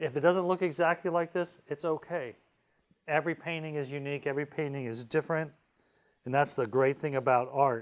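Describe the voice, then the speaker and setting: An unremarkable speaking voice from a man, fairly high in pitch, fairly quick in pace, with fairly even intonation. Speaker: art professor. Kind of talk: tutorial. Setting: video call.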